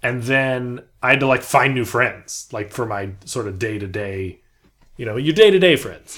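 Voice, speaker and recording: A man's medium-pitched voice in an American accent, with lively intonation, big swings in loudness and a moderate pace. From Southern California, Beverly Hills. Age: 20s. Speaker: actor. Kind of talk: casual chat. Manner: animated, with frequent fillers and restarts.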